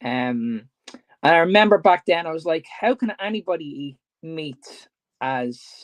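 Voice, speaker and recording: Lively in intonation, a man with a Dublin accent speaks at a fairly high pitch in a dry, close sound with no echo. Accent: Dublin Irish. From Ireland, Dublin. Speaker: fitness coach. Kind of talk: casual chat.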